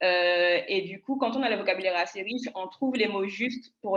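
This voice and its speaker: A woman speaks at a medium pitch and moderate pace. Her pitch varies in an ordinary way. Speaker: public speaking panelist. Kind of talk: panel discussion. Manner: choppy delivery.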